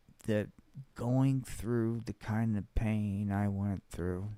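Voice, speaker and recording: This man's voice has a dark, mellow tone. He talks very slowly with fairly even intonation. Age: 60s. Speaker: middle school study hall supervisor. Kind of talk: podcast monologue.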